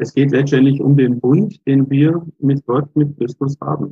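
A man talks with a fairly high pitch and a somewhat breathy, dark, mellow tone. The sound is dry and close, with no echo. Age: 60s. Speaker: lay church minister. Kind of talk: interview.

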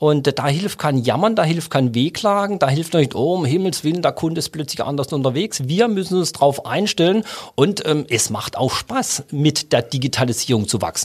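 A man speaks with lively intonation and a somewhat breathy sound. He keeps a moderate pace with hardly any pauses. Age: 50s. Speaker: bank chief executive. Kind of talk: casual interview. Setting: studio.

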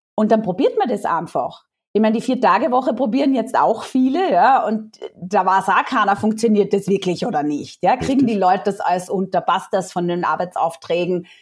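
A woman's medium-pitched voice at a fairly quick pace, with lively intonation and hardly any pauses. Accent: slight Austrian. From Austria. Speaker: founder of a job-sharing platform. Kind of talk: podcast interview.

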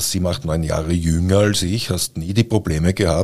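With music in the background, a man talks at a moderate pace in a very deep, low voice. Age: 60s. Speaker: podcast host, publisher. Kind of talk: casual chat. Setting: studio.

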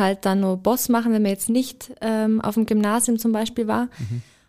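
The recording is very clean, with a silent background. A woman with an unremarkable speaking voice talks at a fairly high pitch with fairly even intonation. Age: 20s (24). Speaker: apprentice trainer. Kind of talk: interview.

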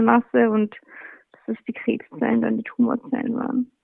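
A woman is speaking. Her pace is moderate. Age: 20s. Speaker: cancer patient. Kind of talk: interview. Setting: phone call.

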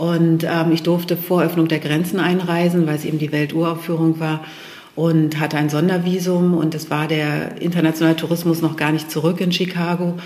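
A woman with a fairly low pitch talks at a moderate pace in a flat, monotone delivery. Room echo is audible, and background noise is noticeable. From Lower Saxony, Germany (Steinhude near Hannover). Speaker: film director and photo artist. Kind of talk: interview. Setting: art gallery. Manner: hesitant, many fillers.

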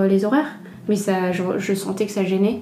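A woman at medium pitch speaks in a monotone, flat way, with audible room echo and noticeable background noise. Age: 30s. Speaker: entrepreneur, former food industry marketer. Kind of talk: testimony. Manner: halting.

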